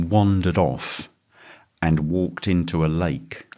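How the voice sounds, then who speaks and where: This is a man with a very deep, low pitch. His tone is calm. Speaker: toastmaster. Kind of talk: interview answer.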